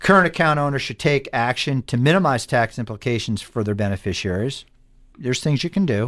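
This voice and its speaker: In an unremarkable speaking voice, a man talks at a fairly quick pace and medium pitch with lively intonation, on a very clean recording with a silent background. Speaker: financial advisor, radio host. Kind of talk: informative talk show discussion.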